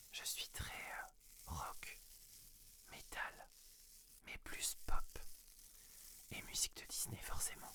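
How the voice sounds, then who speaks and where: A man whispers very slowly, breaking his words with frequent, long pauses. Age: 30s. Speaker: ASMR creator and medical secretary. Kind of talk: ASMR FAQ, intimate casual talk to camera. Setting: studio, close-mic. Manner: whispered, soft-spoken.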